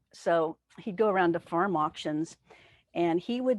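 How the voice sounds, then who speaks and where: A woman with an American accent has an ordinary speaking voice, fairly low in pitch with ordinary pitch variation. She keeps a moderate pace against a quiet background. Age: 60s. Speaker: spiritual teacher. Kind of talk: sermon. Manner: conversational.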